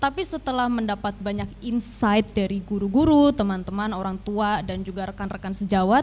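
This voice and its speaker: A woman with a medium pitch and a somewhat breathy voice speaks at a fairly quick pace. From Tangerang Selatan, Indonesia. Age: 20s. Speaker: law student, teaching intern. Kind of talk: interview.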